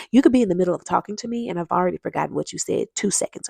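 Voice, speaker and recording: A woman with an American accent talks in an animated tone, her voice dry and close with no echo. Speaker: vlogger giving relationship advice. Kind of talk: casual monologue to camera. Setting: at her desk at work. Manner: fast.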